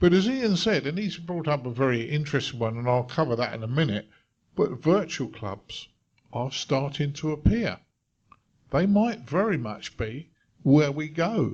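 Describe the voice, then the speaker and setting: A man's fairly high, somewhat breathy voice at a moderate pace with very wide pitch swings. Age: 60s. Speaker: radio club panelist. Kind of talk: panel discussion.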